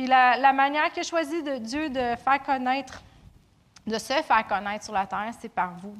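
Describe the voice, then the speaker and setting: Her voice is a normal speaking voice, fairly high for a woman, with ordinary pitch variation and a fairly slow pace. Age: 30s. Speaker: preacher. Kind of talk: sermon.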